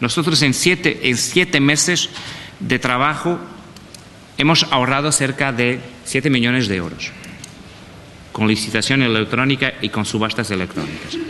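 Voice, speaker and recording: Speaking in a Portuguese accent with lively intonation, the voice keeps a moderate pace broken by long, frequent pauses, with noticeable background noise. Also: man, medium pitch for a man. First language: Portuguese (speaking Spanish). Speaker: panelist on public procurement. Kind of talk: panel presentation.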